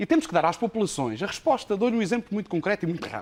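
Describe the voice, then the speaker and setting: A man speaking at a very fast pace. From Portugal, Castelo Branco district (Penamacor, interior). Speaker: professional firefighter, association leader. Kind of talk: televised debate.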